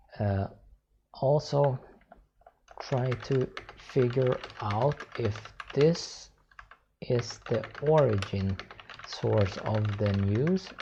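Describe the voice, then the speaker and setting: A man speaks very slowly with a Swedish accent, leaving long, frequent pauses. His pitch is medium, with ordinary variation. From Sweden. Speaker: software developer. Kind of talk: screencast tutorial. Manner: halting, many fillers.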